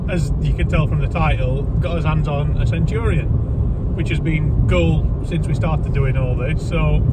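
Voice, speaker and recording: A man speaks at a moderate pace over loud background noise. The sound is dry, with no echo. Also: ordinary pitch variation. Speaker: vlogger. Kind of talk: casual vlog chat. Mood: jokey, upbeat. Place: car. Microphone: phone near.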